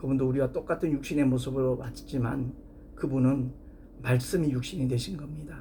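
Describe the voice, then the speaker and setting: A somewhat breathy man speaks with fairly even intonation amid audible room echo. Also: medium pitch for a man, moderate pace. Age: 60s. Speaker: pastor. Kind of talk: sermon.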